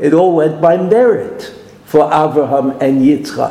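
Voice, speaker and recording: Noticeable background noise sits behind this recording. A man with a Brooklyn accent speaks with lively intonation. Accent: New York (Brooklyn). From US, Brooklyn. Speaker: Torah teacher. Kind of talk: lecture.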